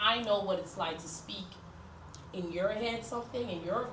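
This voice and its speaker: Over noticeable background noise and audible room echo, a woman with a medium pitch speaks at a moderate pace. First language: French. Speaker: counselor leading group session. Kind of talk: group class instruction.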